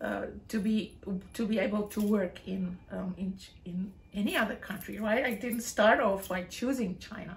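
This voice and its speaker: A woman speaks at a medium pitch and a moderate pace. Her intonation is fairly even, and there is noticeable background noise. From South Africa, West Coast. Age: 50s. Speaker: English teacher. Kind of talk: casual interview. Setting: at her home.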